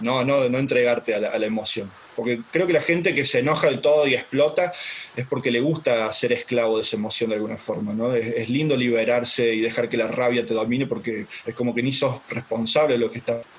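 A man's fairly quick, medium-pitched speech with fairly even intonation and a slight Córdoba accent, over noticeable background noise. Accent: slight Córdoba lilt. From Brazil, raised there from 4 to 16; born in Córdoba, Argentina. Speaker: life coach. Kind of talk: casual interview.

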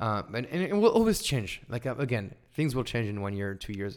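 A man with a French accent on a very clean recording with a silent background. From France. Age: 20s. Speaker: online course instructor and entrepreneur. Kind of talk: casual interview chat. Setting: recorded over wine with host in Lisbon.

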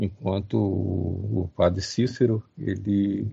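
A man speaks at a fairly low pitch with fairly even intonation and vocal fry. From Rio de Janeiro, Brazil. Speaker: professor. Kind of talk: lecture-style talk. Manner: halting.

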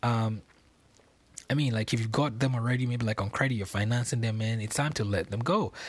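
A man speaks at a medium pitch and a moderate pace, his voice somewhat breathy. The recording is very clean, with a silent background. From Nigeria, Lagos. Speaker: podcast host. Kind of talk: casual monologue. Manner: filler-heavy, laughing often.

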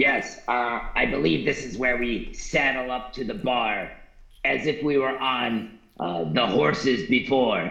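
A man's put-on character voice at medium pitch, fairly slow pace, with a slight echo. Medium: actual play. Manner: formal, stilted, literal.

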